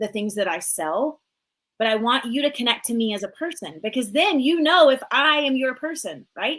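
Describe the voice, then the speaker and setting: A woman's high-pitched voice with a slight Southern US accent, very wide pitch swings and a moderate pace. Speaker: business coach. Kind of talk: live coaching talk. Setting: live stream. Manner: animated.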